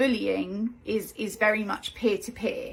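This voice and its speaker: A woman speaks with vocal fry. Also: very clean recording, silent background. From Derbyshire, England. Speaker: life coach. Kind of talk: live video talk. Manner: hesitant, many ums.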